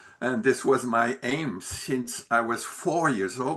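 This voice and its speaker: In a Quebec French accent, a man with a bright, sharp tone speaks fairly slowly and with ordinary pitch variation. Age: 70s. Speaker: retired musician and peace activist. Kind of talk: interview. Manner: halting.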